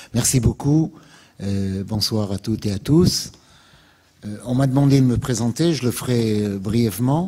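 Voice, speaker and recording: With a slight Alsatian accent and a dark, mellow tone, this voice moves at a fairly slow pace with ordinary pitch variation and long, frequent pauses. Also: man. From France, Alsace (Strasbourg). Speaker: activist, invited speaker. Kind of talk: public lecture. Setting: lecture hall with audience. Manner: hesitant, many filler sounds.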